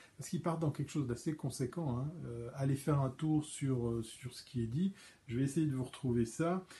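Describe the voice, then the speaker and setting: Somewhat breathy speech comes with a dark, mellow tone. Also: man, fairly high pitch for a man, ordinary pitch variation, moderate pace. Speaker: live stream host. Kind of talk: solo live stream commentary. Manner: hesitant, many fillers and stammers.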